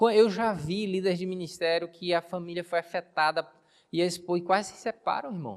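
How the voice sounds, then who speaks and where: A man with a high pitch talks at a fairly quick pace. His intonation is fairly even, and the sound is dry and close with no echo. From Brazil, Bahia (near Cachoeira). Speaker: pastor. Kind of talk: sermon. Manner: conversational, engaging the audience.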